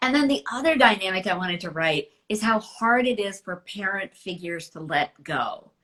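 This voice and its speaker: A woman talks with hardly any pauses in a bright, sharp tone, her loudness swinging widely. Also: medium pitch for a woman, lively intonation, moderate pace. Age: 60s. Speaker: novelist. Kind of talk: casual chat.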